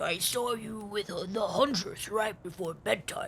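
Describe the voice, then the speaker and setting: A raspy put-on character voice at a fairly slow pace. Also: man. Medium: game stream. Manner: gruff, boastful.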